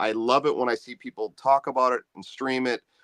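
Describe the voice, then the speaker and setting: It is an ordinary speaking voice at a fairly quick pace. The sound is dry and close with no echo, over a quiet background. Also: man. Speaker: singer-songwriter and musician. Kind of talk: casual interview chat. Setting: live video stream.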